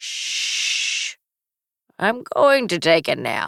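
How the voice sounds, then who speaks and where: A put-on character voice. It sits at a fairly high pitch. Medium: read story. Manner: brisk, playful.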